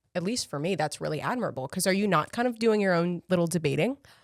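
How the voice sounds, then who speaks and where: A woman speaks loudly at a very fast pace with an animated tone and very wide pitch swings. The recording is very clean, with a silent background. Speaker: podcast host. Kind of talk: casual debate chat.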